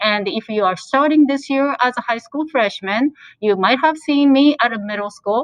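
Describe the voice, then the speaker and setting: A woman with a Japanese accent speaks at a high pitch. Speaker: high school language teacher. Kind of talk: presentation to parents.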